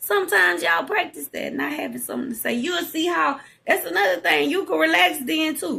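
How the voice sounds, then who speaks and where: Raising and projecting her voice in a Southern US accent, a woman sounds animated, with a bright, sharp tone, high pitch, very wide pitch swings and a fairly quick pace. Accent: country Southern. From Louisiana. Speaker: podcast host, psychic. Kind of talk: casual monologue. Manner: expressive, animated.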